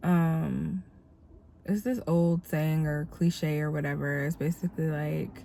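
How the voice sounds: Slowly and with fairly even intonation, a woman speaks in a low, dark, mellow voice that is nasal and has vocal fry.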